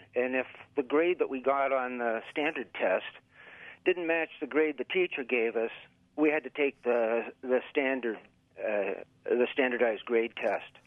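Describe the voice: Speaking at a medium pitch with an American accent, a man moves at a fairly slow pace with ordinary pitch variation.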